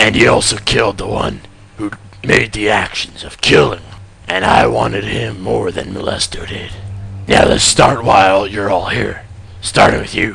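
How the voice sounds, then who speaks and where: A raspy, fairly low-pitched man's voice over clear background noise. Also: moderate pace. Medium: audio drama. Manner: gruff, impatient, swearing.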